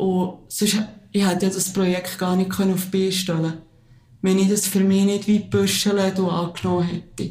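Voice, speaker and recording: A woman speaks at a moderate pace with a medium pitch and a dark, mellow tone. Her voice is somewhat breathy, and her intonation is monotone and flat. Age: 30s. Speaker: teacher and support group founder. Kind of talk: interview.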